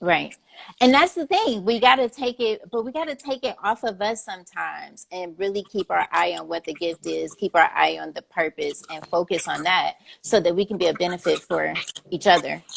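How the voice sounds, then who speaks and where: Speaking with an American accent, a woman keeps a moderate pace. Her loudness swings widely. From Cleveland, Ohio. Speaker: interview host. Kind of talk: casual interview.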